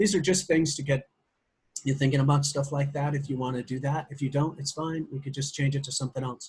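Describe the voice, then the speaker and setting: Speaking very fast, a man with an American accent sounds somewhat breathy at a fairly high pitch. His intonation is monotone and flat. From US Midwest. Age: old. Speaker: social media marketer. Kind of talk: business call pitch. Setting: conference call.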